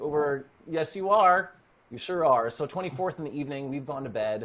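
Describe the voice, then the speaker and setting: The recording is very clean, with a silent background. A man with a Canadian accent and a plain, everyday voice talks at a moderate pace, his pitch fairly high. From Norway, raised in Canada. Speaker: actor. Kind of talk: casual interview chat.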